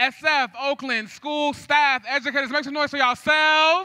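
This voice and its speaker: A man's raised, projected voice, bright, sharp and animated in tone, at a moderate pace over a quiet background. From San Francisco Bay Area. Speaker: event MC. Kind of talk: live event hosting. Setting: stage with audience. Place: stage. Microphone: handheld.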